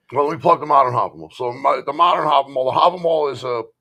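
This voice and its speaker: Talking very fast in a strong Bronx accent, the man has a fairly high, bright and sharp voice, an animated tone and ordinary pitch variation. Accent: thick Bronx. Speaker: author and modern paganism content creator. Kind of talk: casual chat. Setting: live stream.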